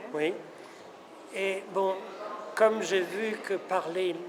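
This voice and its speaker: A man's high-pitched voice amid audible room echo and noticeable background noise. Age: 70s. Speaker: son of a famous painter. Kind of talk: interview. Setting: museum. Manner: halting.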